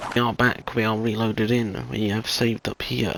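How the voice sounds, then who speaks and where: A man with a British accent and a fairly low pitch, against noticeable background noise. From Britain. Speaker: gaming YouTuber. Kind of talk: gameplay commentary. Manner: soft-spoken. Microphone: voice recorded too quiet.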